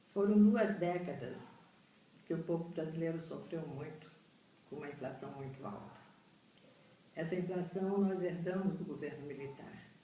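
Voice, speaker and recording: At a moderate pace and fairly low pitch, a woman speaks with ordinary pitch variation, big swings in loudness and long, frequent pauses, amid noticeable background noise and audible room echo. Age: 70s. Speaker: retired educator recounting history. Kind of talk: oral history testimony.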